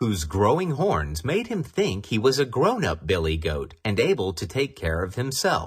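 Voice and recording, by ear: Someone reads aloud in a natural voice.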